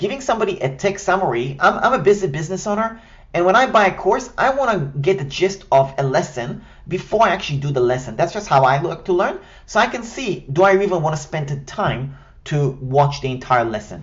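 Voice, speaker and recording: Someone talks at a fairly quick pace with an Israeli accent. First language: Hebrew. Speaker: online business coach. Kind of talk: tutorial. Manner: scripted, structured delivery.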